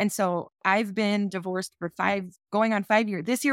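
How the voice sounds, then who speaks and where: In an American accent, a woman talks at a moderate pace and a medium pitch, recorded very cleanly against a silent background with a dry, close sound and no echo. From New Jersey, US Northeast. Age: 40s. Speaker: former homemaker, single mother. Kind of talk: interview. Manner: animated.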